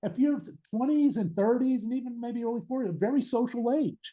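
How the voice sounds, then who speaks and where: A man speaks at an extremely high pitch. His dark, mellow tone moves at a fairly quick pace. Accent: American. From Pittsburgh, Pennsylvania, US. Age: 60s. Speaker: author and addiction recovery advocate. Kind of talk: podcast interview.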